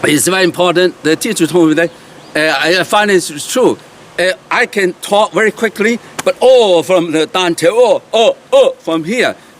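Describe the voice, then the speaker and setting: A man with a Chinese accent and a high pitch, dry and close with no echo, amid noticeable background noise. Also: ordinary pitch variation, moderate pace. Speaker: qigong teacher. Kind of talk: tutorial. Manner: halting, many fillers.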